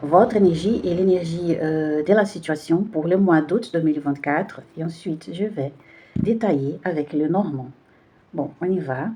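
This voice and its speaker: A woman with a Brazilian accent speaks at a fairly slow pace in a fairly low pitch, her dark, mellow tone carrying ordinary pitch variation. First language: Portuguese (speaking French). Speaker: tarot card reader. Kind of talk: spiritual card reading. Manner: halting, many hesitations.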